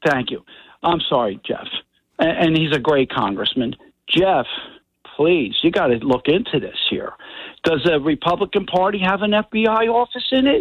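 A high-pitched man speaks with very wide pitch swings, leaving long, frequent pauses. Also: moderate pace. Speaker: radio caller. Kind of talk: call-in opinion. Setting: phone call.

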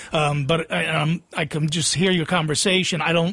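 A man's high-pitched voice with a New Jersey accent over noticeable background noise. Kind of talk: casual chat. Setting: studio.

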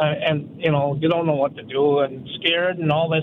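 A man's fairly high voice is heard against noticeable background noise. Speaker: caller. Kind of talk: call-in radio conversation. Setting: phone call.

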